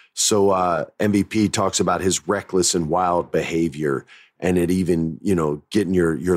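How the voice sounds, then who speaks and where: Vocal fry marks a man's very deep, low voice as he speaks at a moderate pace with ordinary pitch variation. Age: 40s. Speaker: former wrestling writer. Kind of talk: casual storytelling.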